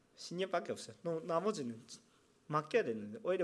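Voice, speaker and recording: A man with a Japanese accent speaks with very wide pitch swings. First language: Japanese (speaking Korean). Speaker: pastor. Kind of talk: sermon. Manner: halting.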